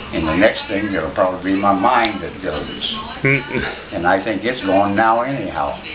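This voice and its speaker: Noticeable background noise sits behind this voice. It moves at a moderate pace with an American accent. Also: man, fairly low pitch for a man, ordinary pitch variation. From Pennsylvania, USA. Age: 80s+. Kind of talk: casual talk to camera.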